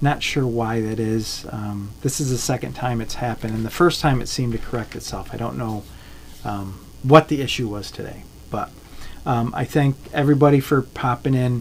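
Light background noise sits behind a man with a relaxed tone. He keeps a moderate pace and fairly even intonation. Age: 50s. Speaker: jig tier and fishing lure maker. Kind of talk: live-stream tutorial. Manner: halting, many fillers; relaxed, conversational. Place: home room.

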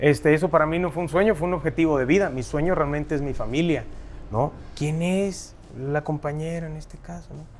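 The speech moves at a fairly quick pace with big swings in loudness. Light background noise sits underneath. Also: man, fairly high pitch for a man. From Mexico, Huasteca region; Mexico. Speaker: singer; guest. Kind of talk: casual interview chat. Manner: animated. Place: studio.

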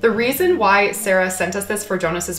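Her pitch rises and falls in an ordinary way as the woman talks. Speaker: pet vlogger. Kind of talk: casual vlog chat. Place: home room. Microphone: camera far.

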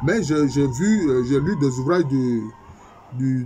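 This is a man talking. Music sounds faintly behind him. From Ivory Coast. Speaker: history professor. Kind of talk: lecture. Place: home room. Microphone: webcam.

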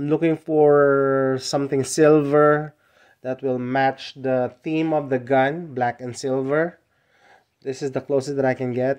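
Over a quiet background, the speech unfolds at a very slow pace. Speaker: hobbyist vlogger. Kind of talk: casual product show-and-tell. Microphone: phone near.

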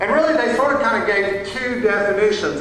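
Amid light background noise and strong room echo, a man speaks in a high voice. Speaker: pastor. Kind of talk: sermon. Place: church. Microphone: camera far.

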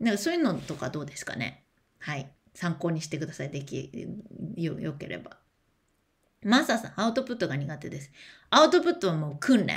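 This woman has a fairly low pitch and a somewhat breathy sound. She talks at a fairly quick pace. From Japan. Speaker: education speaker and streamer; speaker, streamer. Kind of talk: livestream chat, reading and answering comments. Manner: casual, chatty. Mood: warm, encouraging, chatty. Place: home room. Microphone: webcam.

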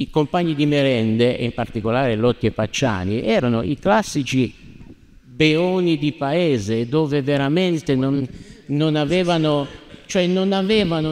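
This man talks at a fairly slow pace. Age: 60s. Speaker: lawyer. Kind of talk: heated debate. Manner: animated. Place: church. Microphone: handheld.

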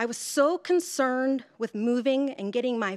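Over a quiet background, a woman talks with an American accent. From US Mid-Atlantic. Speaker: life coach. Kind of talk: storytelling. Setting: stage with audience. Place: hall. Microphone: podium.

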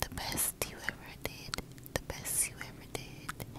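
Against loud background noise, a woman speaks in a soothing tone with a dry sound and no echo. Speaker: ASMR creator. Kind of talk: ASMR sleep whisper. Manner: loud whisper, close to the microphone, slow and soothing. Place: car. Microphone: earbuds.

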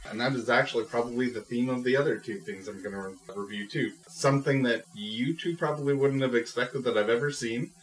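A man's medium-pitched voice moves at a fairly quick pace with ordinary pitch variation, noticeable background noise behind it. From Scotland. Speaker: podcast co-host, film reviewer. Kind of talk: casual chat.

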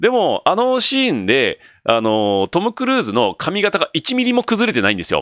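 Against a quiet background, a man talks at a moderate pace in an animated tone, the sound dry with no echo. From Japan. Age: 40s. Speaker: solo video creator. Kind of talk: casual solo talk. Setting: late-night solo broadcast. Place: home room. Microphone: studio mic.

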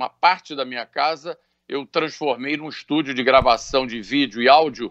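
Little sound is heard behind the voice. A man talks at a fairly slow pace. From Brazil. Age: 60s. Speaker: businessman; interviewee. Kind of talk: radio interview. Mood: serious, earnest. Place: home room. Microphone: video call.

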